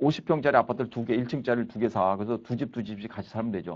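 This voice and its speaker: Against a quiet background, a man speaks. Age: 60s. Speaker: professor. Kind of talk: lecture. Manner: casual, conversational.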